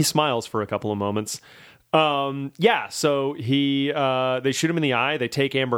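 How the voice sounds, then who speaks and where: Here is a man with an unremarkable speaking voice and an American accent. He speaks at a medium pitch and a moderate pace, with ordinary pitch variation. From Louisiana, US South. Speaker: podcast host, film reviewer. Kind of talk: casual chat.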